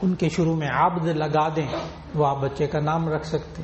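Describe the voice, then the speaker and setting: A man is speaking. His pitch is fairly high. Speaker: Islamic scholar giving a sermon. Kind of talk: religious sermon (bayan) to an audience.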